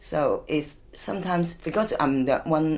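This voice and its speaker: Speaking with a Hong Kong accent, a woman moves at a very slow pace. Her pitch is very deep and low, yet her intonation is lively. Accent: Hong Kong Cantonese-accented English. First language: Cantonese. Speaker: community charity worker. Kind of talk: oral history interview. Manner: halting.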